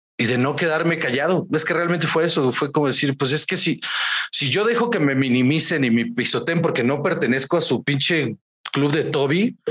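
This is a man with a normal speaking voice, pitched fairly high for a man. He talks at a moderate pace with lively intonation and very even loudness. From Guaymas, Sonora, northern Mexico. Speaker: stand-up comedian. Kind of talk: casual interview.

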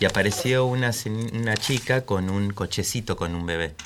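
An ordinary speaking voice belongs to a man with a fairly low pitch. His pitch varies in an ordinary way. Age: 40s. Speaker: father. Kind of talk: panel discussion.

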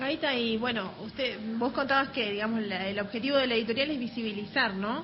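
A woman with a fairly high pitch and ordinary pitch variation speaks against noticeable background noise. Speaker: radio interviewer.

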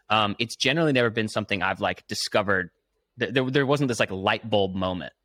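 A bright, sharp voice moves at a fairly quick pace with ordinary pitch variation in a very clean, silent recording that sounds dry and close, with no echo. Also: man. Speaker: podcast host. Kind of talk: casual chat. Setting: studio.

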